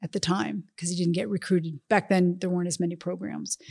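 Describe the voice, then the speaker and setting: This woman has an ordinary speaking voice, fairly low in pitch, against a quiet background. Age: 50s. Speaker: former college soccer coach. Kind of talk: casual interview chat.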